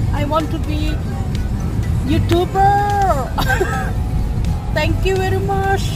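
Over loud music in the background, a woman speaks at a very slow pace, the sound dry with no echo. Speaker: vlogger. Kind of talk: casual vlog chat. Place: car. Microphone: phone near.

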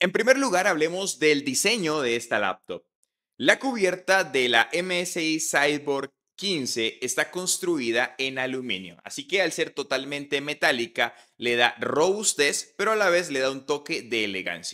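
A man with a bright, sharp tone talks at a fairly slow pace, making very wide pitch swings over a quiet background. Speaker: tech reviewer. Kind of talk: product review. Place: home room. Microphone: studio mic.

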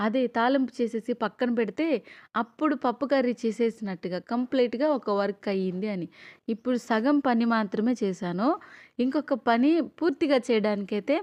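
In a quiet background with dry, close sound and no echo, a woman speaks in an unremarkable speaking voice, fairly high in pitch, with ordinary pitch variation. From Andhra Pradesh, near Nellore. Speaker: cooking vlogger. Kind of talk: casual cooking vlog.

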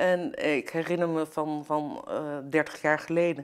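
A woman's very deep, low voice with monotone, flat intonation. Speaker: commentator on fisheries and law; commentator on fisheries. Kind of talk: political interview talk. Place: studio. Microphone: lapel.

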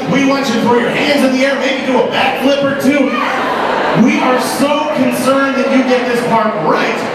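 A man talks at a moderate pace. Loud background noise and audible room echo fill the recording. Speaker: announcer, emcee, comedian. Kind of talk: live audience warm-up. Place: stage.

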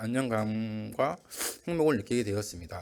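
A man's voice at a moderate pace with ordinary pitch variation, on a very clean recording with a silent background. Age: 20s. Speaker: church member giving testimony. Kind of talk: testimony. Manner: halting.

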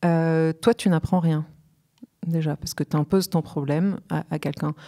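Over a quiet background, a woman speaks at a fairly slow pace in a fairly low pitch, her dark, mellow tone carrying fairly even intonation. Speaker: guest. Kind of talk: interview answer. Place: studio. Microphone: studio mic.

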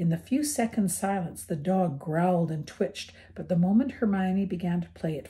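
Pitch varies in an ordinary way across a natural reading voice.

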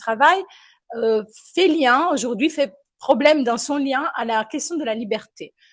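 With an Italian accent, a high-pitched woman talks at a fairly slow pace with lively intonation. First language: Italian (speaking French). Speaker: philosophy lecturer. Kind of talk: panel discussion. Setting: café with live and online audience.

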